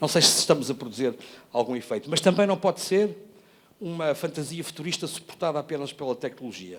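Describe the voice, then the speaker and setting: A man's fairly high voice, fairly quick and lively in intonation. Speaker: educator, former education network coordinator. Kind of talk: panel talk presentation. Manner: hesitant, with many fillers and restarts.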